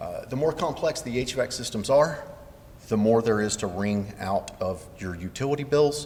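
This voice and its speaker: In a Southern US accent, a man talks at a moderate pace and medium pitch with ordinary pitch variation, amid audible room echo and noticeable background noise. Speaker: building commissioning engineer, conference presenter. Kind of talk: conference presentation.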